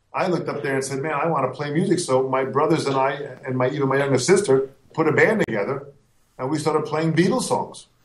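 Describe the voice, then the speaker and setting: A man with a fairly high pitch and ordinary pitch variation talks at a very fast pace amid audible room echo. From US, Italian-American household. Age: 50s. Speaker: drum educator and clinician. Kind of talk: interview. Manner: animated.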